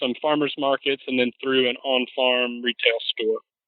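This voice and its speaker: A man talks in a Southern US accent at a fairly slow pace. His pitch is fairly high, and his intonation is monotone and flat. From US South, Mississippi. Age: 30s. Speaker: farmer. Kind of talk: interview. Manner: casual, many fillers.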